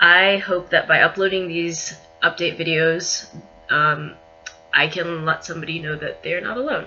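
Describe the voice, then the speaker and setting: Fairly even intonation from a woman, noticeable background noise underneath. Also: fairly low pitch for a woman, moderate pace. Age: 20s. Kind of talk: video diary update. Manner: hesitant, many fillers.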